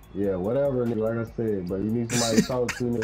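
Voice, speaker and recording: Over music in the background, a man talks with monotone, flat intonation. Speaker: online basketball game player in voice chat. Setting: online game voice chat. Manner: calm, laid-back.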